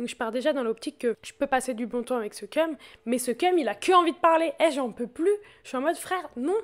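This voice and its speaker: A woman talks at a very fast pace. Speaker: podcast host. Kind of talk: casual chat.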